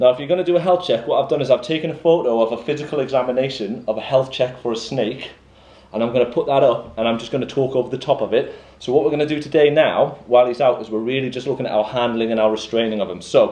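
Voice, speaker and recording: A man's voice, dark and mellow in tone and medium in pitch, moves at a very fast pace with ordinary pitch variation. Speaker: college animal care lecturer. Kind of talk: practical tutorial. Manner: loud.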